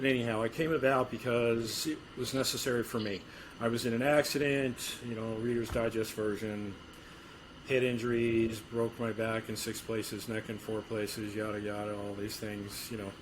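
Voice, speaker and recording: Noticeable background noise runs behind the speech. A man at medium pitch talks at a moderate pace with monotone, flat intonation. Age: 60s. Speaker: strength and conditioning coach. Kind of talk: interview. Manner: halting.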